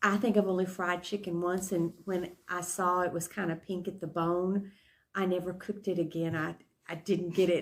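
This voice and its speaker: A woman speaks in a West Texas accent at a moderate pace, her intonation monotone and flat. The recording is very clean, with a silent background. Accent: West Texas Southern US. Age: 70s. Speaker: interviewee. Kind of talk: interview. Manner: hesitant, many fillers.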